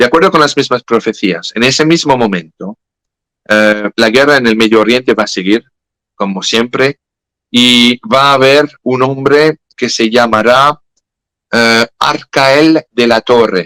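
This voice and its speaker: A man speaks at a fairly slow pace with a medium pitch and ordinary pitch variation. His tone is bright and sharp, his loudness very even, and the sound dry and close with no echo. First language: French (speaking Spanish). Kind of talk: interview about religious prophecy. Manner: halting, self-correcting.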